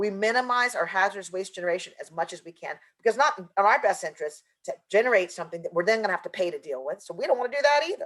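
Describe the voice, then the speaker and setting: Talking very fast with hardly any pauses, a woman at a medium pitch makes very wide pitch swings and big swings in loudness. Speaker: environmental justice consultant. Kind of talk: webinar presentation. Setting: virtual conference.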